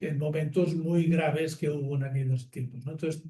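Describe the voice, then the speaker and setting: The man's dark, mellow tone carries a fairly even intonation. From Catalonia, Barcelona. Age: 70s. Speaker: nonviolence activist. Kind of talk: public talk. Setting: theatre with audience. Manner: conversational with fillers and restarts.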